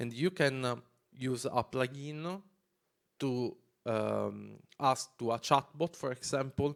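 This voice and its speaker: A man with an Italian accent speaks at a very slow pace in a medium pitch with fairly even intonation and long, frequent pauses. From Italy. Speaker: developer advocate. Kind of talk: conference talk. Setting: stage with audience. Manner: halting.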